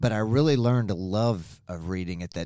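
A man talks with an Arkansas accent. His pace is moderate. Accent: Arkansas Southern US. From Springdale, Arkansas, US South. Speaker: former student, business owner. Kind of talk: interview. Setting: at the school.

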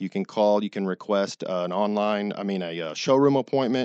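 A man with an ordinary speaking voice and an American accent talks at a fairly quick pace in a fairly low pitch. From Texas (Dallas). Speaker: flooring store owner. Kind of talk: radio interview.

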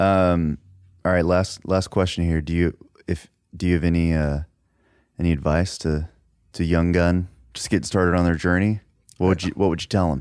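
A man speaks in a Texan accent with a very deep, low pitch and monotone, flat intonation. His moderate pace is broken by long, frequent pauses on a very clean recording with a silent background. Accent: Texan American. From Dallas, Texas. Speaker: podcast host and musician. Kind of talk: casual chat.

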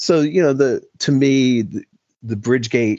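A man with an American accent has an ordinary speaking voice. He talks at a fairly slow pace with ordinary pitch variation. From New York City. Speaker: political commentator. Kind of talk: casual chat.

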